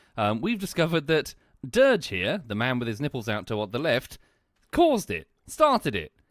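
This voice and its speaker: In a British accent, a man talks at a moderate pace with very wide pitch swings and vocal fry. The recording is very clean, with a silent background. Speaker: game streamer. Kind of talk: casual chat. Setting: live stream.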